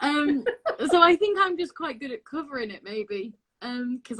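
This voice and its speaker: Lively intonation and a bright, sharp tone mark this woman's voice at a moderate pace. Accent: Lancashire. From northwest England, Blackpool. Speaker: actress and singer. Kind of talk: interview. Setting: video call.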